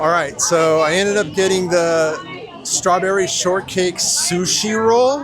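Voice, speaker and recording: Crowd noise runs behind a man whose voice carries audible room echo. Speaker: theme park travel vlogger. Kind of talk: casual vlog narration. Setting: walking in theme park. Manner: hesitant, many filler words.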